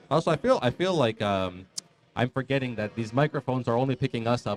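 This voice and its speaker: A man talks at a very fast pace and a medium pitch. The sound is dry and close, with no echo. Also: ordinary pitch variation. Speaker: magic card game commentator. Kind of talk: live match commentary. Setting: live event in a bar. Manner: loud.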